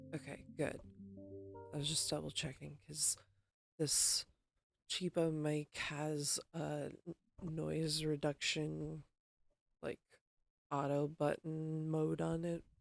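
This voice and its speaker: A soft-spoken woman at a very slow pace, with long, frequent pauses, in a dry, close sound with no echo. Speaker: gaming streamer. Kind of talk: casual live-stream chat while gaming. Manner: hesitant, many fillers. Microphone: cheap mic with auto noise reduction.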